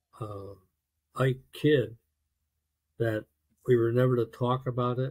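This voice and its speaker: In an American accent, a somewhat breathy voice moves at a fairly slow pace with monotone, flat intonation. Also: man, medium pitch for a man. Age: 70s. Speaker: navy veteran. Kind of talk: interview testimony. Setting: video call.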